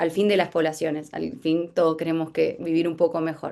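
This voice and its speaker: Against a quiet background, a woman with a fairly low pitch speaks at a moderate pace with fairly even intonation. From Buenos Aires province, Argentina. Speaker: workshop instructor. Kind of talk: lecture. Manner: halting.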